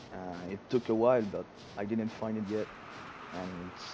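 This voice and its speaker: A man speaks at a moderate pace with a strong Quebec accent. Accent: thick French Canadian. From Quebec, Quebec City. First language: French. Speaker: gaming streamer. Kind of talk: live gameplay stream commentary. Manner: halting, frequent repetitions and fillers.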